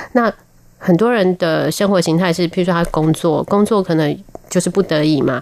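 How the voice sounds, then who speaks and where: At a moderate pace, an ordinary speaking voice comes through with very even loudness. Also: woman, fairly low pitch for a woman, ordinary pitch variation. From Taiwan, military dependents' village. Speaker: nutrition professor. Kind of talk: radio interview.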